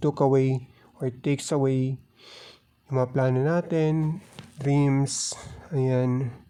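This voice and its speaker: The speaker talks at a fairly slow pace with a Filipino accent. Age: 20s. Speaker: podcast host. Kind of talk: casual monologue, mixing English and Filipino. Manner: halting, many fillers.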